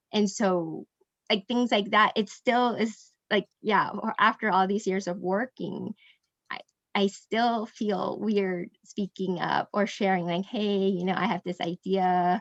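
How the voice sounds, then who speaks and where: A woman at medium pitch with an American accent, fairly even intonation and a fairly slow pace, in a dry, close sound with no echo. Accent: Americanized. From Indonesia and Singapore. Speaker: mastermind group member. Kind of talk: group discussion. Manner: hesitant, many fillers.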